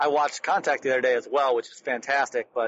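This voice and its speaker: A plain, everyday voice from a man at medium pitch, fairly even in intonation, with an American accent. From Detroit, US Midwest. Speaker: podcast co-host. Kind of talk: casual chat. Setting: in a car.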